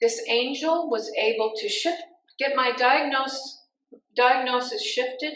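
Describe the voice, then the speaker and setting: A woman's high voice at a fairly slow pace, lively in intonation, with audible room echo. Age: 70s. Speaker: pastor. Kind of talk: sermon.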